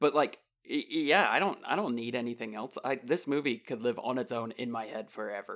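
A man speaks at a fairly quick pace in a plain, everyday voice, with medium pitch, ordinary pitch variation, and a very clean recording over a silent background. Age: 40s. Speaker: podcast co-host and voice actor. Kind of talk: casual chat.

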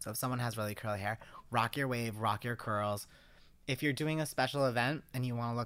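With a slight East Coast US accent, a man talks at a moderate pace in a medium pitch, his tone bright and sharp and his intonation fairly even, on a very clean recording with a silent background. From US East Coast. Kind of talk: casual chat.

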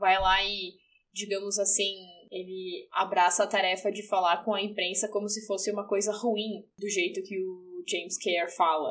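A woman with a plain, everyday voice speaks at medium pitch and a moderate pace, her intonation fairly even. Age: 20s. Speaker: English teacher and journalist. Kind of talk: casual chat.

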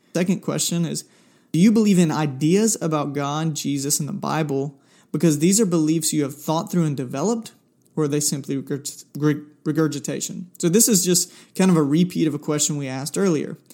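A man's dark, mellow voice at a fairly quick pace with ordinary pitch variation, in a very clean recording with a silent background. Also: fairly high pitch for a man. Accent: Southern US. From US South, South Georgia. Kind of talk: solo faith podcast monologue. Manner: casual, with many filler words.

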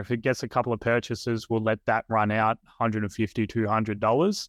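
A man with a medium pitch talks fairly quickly in a monotone, flat intonation. The sound is dry and close with no echo, against a quiet background. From Australia. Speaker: Meta ads agency owner. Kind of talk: casual interview chat.

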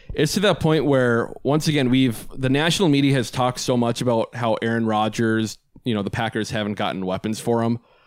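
A man's unremarkable speaking voice at a medium pitch, fairly quick in pace, with ordinary pitch variation. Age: 20s. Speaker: sports podcast host. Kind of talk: casual chat.

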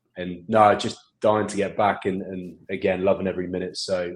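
At a fairly quick pace, the speaker talks with an English accent in a monotone, flat intonation. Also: man. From England. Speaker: rugby assistant coach. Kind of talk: casual interview.

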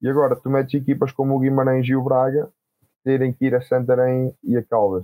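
The man has a dark, mellow tone at medium pitch, with fairly even intonation and very even loudness. He talks at a fairly quick pace in a dry, close sound with no echo. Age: 20s. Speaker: rugby player. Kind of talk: casual interview.

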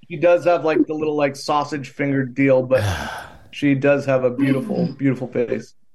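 Speaking in a plain, everyday voice, a man keeps a moderate pace, a fairly high pitch and fairly even intonation. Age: 40s. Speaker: farmer. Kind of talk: casual chat.

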